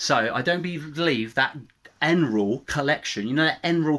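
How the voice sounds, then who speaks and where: A man with an English accent at a fairly quick pace, with ordinary pitch variation, on a very clean recording with a silent background. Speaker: YouTuber. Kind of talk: political rant. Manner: fast; animated.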